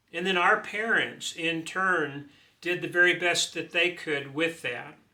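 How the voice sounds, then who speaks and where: Speaking at a very slow pace, a man uses a high pitch. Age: 60s. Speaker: retired preacher. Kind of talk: informal talk. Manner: halting.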